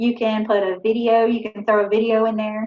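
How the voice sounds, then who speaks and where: A woman with a Southern accent, fairly high pitch, fairly even intonation and a moderate pace. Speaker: author. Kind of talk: talk to a writers group. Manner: casual, with many fillers.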